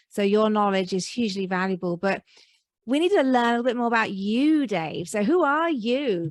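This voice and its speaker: Here a woman with a British accent speaks in a fairly high voice with lively intonation at a moderate pace. The recording is very clean, with a silent background. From Britain. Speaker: podcast host. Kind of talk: interview.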